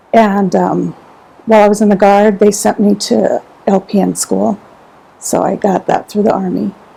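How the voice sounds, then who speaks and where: A woman talks at a medium speed while clear background noise can be heard. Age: 60s. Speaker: military veteran. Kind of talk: interview.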